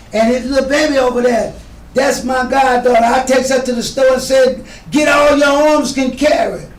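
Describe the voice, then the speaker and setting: There is audible room echo around this man. His pitch is extremely high. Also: fairly even intonation, fairly quick pace. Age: old. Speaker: veteran entertainer. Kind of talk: casual interview.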